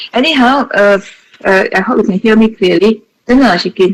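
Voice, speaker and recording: With a Malaysian accent, a woman talks at a fairly quick pace with ordinary pitch variation. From Malaysia, Johor. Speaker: associate professor. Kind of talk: webinar talk. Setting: video call.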